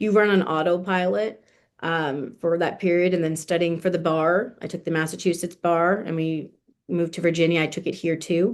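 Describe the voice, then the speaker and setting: In an American accent, a woman uses an ordinary speaking voice, fairly low in pitch, at a moderate pace with fairly even intonation against a quiet background. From New Jersey, US. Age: 30s. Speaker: estate planning lawyer. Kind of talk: interview conversation.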